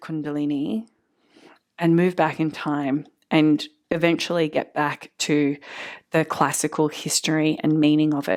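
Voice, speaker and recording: A woman with an Australian accent speaks with a very deep, low pitch. The recording is very clean, with a silent background. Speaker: yoga teacher. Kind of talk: lecture.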